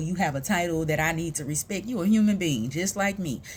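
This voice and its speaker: Somewhat breathy and fairly quick, a woman talks with an American accent and lively intonation. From US South, Houston, Texas (south side). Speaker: vlogger, mother and peer support specialist. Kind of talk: casual personal vlog monologue.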